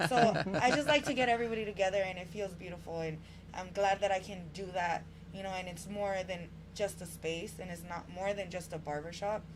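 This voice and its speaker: Over noticeable background noise, a woman talks at a fairly quick pace and medium pitch, with ordinary pitch variation and big swings in loudness. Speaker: barbershop owner and community organizer. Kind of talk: podcast interview. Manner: animated.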